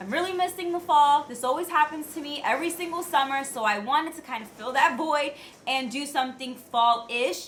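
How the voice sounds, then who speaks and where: Raising and projecting her high voice, a woman talks fairly quickly with lively intonation. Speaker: beauty vlogger. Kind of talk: tutorial. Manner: loud.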